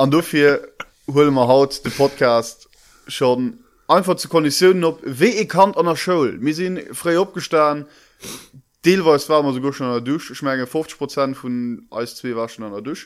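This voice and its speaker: Fairly high-pitched, a man talks at a moderate pace with ordinary pitch variation and big swings in loudness. The recording is very clean, with a silent background. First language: Luxembourgish (speaking German). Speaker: podcast co-host. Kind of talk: casual chat.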